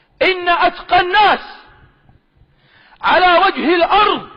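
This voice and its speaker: In a Sanaa accent, a man speaks with a passionate tone at an extremely high pitch. His pace is very slow and his intonation fairly even. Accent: Sanaani Yemeni Arabic dialect. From Sanaa, Yemen. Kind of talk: religious argument, preaching. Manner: passionate, emphatic.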